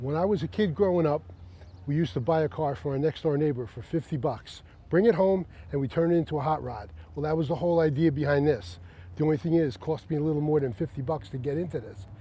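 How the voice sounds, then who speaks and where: A man speaks at a very fast pace with a dark, mellow tone, lively intonation and a somewhat breathy quality, in a dry sound with no echo. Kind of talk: interview answer. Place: open country.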